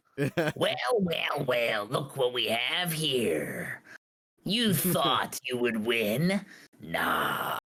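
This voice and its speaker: Putting on a raspy character voice, a man speaks at a medium pitch and a very slow pace. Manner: mocking, taunting.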